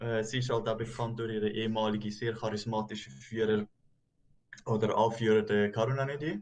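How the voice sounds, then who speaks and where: The speaker is a man with a Swiss accent. His voice is somewhat breathy. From German-speaking Switzerland. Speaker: YouTube reaction host. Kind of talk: casual chat.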